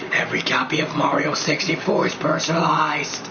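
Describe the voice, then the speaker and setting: A man talks at a fairly quick pace in a put-on character voice with a fairly high pitch. Loud background noise runs underneath. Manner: menacing, villainous.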